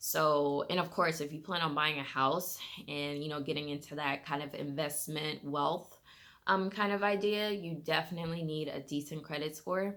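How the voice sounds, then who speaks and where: Bright and sharp in tone, the voice has fairly even intonation and an American accent. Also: woman. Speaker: lifestyle vlogger. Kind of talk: personal finance vlog, casual talk to camera. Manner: fast; casual, many fillers.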